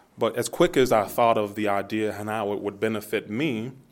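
A man with an American accent and an ordinary speaking voice, at medium pitch, moderate pace and fairly even intonation. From US Midwest, Youngstown, Ohio. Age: 30s. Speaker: entrepreneur, market founder. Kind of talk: casual interview.

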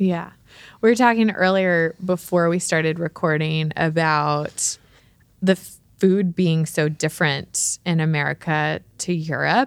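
A woman speaks at a fairly slow pace in an ordinary speaking voice, fairly low in pitch with ordinary variation. The recording is very clean and silent in the background, with a dry, close sound and no echo. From abroad, moved to the US. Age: 20s. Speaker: podcast host and mother. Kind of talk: casual interview chat.

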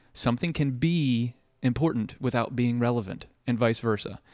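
Heard on a very clean recording with a silent background and a dry, close sound with no echo, a plain, everyday voice with an American accent moves at a moderate pace with ordinary pitch variation. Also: man. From Ohio, Marietta. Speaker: podcast host and entrepreneur. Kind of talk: casual chat.

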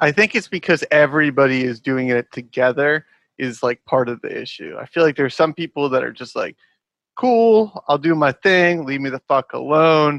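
A man with a normal speaking voice talks at a moderate pace and a fairly high pitch with ordinary pitch variation, the sound dry and close with no echo. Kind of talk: casual chat. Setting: video call.

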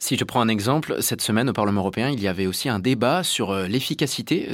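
A man speaks in an unremarkable speaking voice. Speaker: radio host. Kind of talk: radio interview. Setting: studio link from parliament. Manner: formal.

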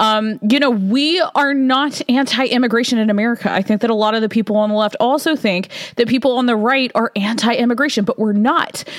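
A woman speaks at a fairly quick pace with ordinary pitch variation, and there is noticeable background noise. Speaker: podcast host. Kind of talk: solo opinion monologue. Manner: casual, filler-heavy, conversational.

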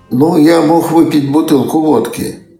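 Audible room echo surrounds a man's voice, with music in the background. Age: 80s+. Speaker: retired Soviet computer engineer. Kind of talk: interview storytelling. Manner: halting.

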